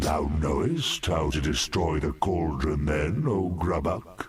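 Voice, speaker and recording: A put-on character voice at a fairly slow pace, with light background noise. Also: man, very deep, low pitch for a man. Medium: video game. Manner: earnest, archaic thee-and-thou phrasing.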